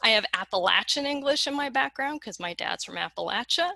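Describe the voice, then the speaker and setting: A woman speaks in a Western American accent with vocal fry and very wide pitch swings. The tone is bright and sharp, and the sound is dry and close with no echo. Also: quiet background. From Colorado, US West. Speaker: lexicographer, keynote speaker. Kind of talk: keynote lecture. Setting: conference keynote.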